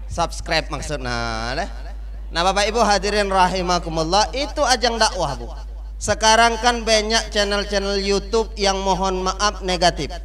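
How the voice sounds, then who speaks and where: Faint music plays in the background as the speaker moves at a moderate pace. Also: man. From South Sumatra, Muara Enim (Belide); South Sumatra, Indonesia. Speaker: Islamic preacher. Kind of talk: sermon. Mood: humorous, lively. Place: hall. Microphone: handheld.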